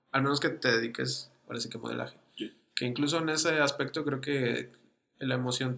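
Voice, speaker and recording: Speaking at a fairly quick pace, a man with a Mexican accent uses a medium pitch. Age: 20s. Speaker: podcast host, amateur photographer. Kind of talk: casual chat.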